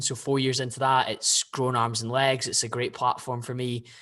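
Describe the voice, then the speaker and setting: Speaking at a fairly quick pace, a man has a Scottish accent and a medium pitch. The background is quiet. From Scotland, Glasgow (Bearsden). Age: 20s. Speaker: podcast guest, fitness influencer and investor. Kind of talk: casual interview chat.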